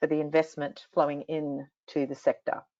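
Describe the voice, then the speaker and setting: A woman with an Australian accent, very deep and low in pitch, at a moderate pace. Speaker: industry association CEO. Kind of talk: panel interview.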